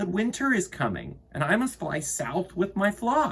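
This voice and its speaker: The voice is a put-on character voice. It moves at a moderate pace. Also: man. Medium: read story.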